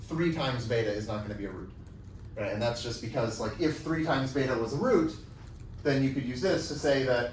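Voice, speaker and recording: A man's medium-pitched voice at a fairly quick pace, with ordinary pitch variation, audible room echo and noticeable background noise. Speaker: university lecturer. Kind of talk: lecture. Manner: fast; halting, with fillers.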